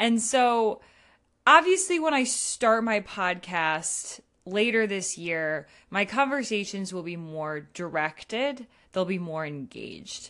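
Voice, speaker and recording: Over a quiet background, a woman at medium pitch speaks at a very slow pace with a bright, sharp tone, very wide pitch swings and big swings in loudness. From New England. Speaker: blogger. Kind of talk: solo monologue. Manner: casual, with laughs.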